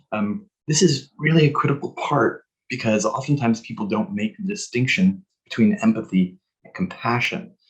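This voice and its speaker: A man speaks in a somewhat breathy, fairly high voice. His pitch swings very widely, and his loudness shifts in big swings. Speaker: psychologist, guest expert speaker. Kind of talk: presentation/webinar talk. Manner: fast.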